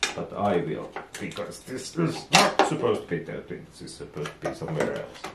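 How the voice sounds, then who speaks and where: Speaking at a moderate pace with a Finnish accent, a man uses a fairly low pitch with very wide pitch swings, and room echo is audible. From Finland. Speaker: DIY boat and engine vlogger. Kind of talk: tutorial. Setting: home workshop. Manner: halting.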